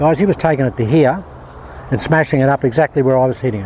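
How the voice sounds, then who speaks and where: Background noise is noticeable behind a man. He talks at a fairly quick pace with ordinary pitch variation. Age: 70s. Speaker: golf instructor. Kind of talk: tutorial. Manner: animated.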